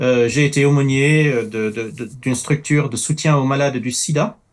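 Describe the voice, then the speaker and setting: Speech moves fairly slowly. The pitch rises and falls in an ordinary way. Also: man. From Middle East, then France from childhood. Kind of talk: talk show interview. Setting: studio. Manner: halting, many hesitations.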